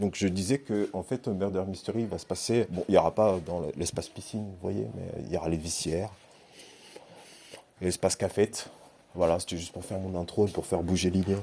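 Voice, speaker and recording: This man speaks with a very deep, low pitch and fairly even intonation, leaving long, frequent pauses. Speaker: youth worker / vlogger. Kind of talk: casual vlog. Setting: indoor swimming pool building. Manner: hesitant, many fillers.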